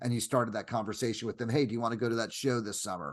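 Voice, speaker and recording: A man speaks in an animated tone at a medium pitch against a quiet background. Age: 60s. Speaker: music photographer. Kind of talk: casual chat. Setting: video call.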